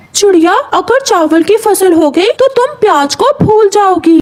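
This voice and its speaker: At a moderate pace, a cartoonish character voice speaks in an extremely high pitch. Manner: warm, reassuring.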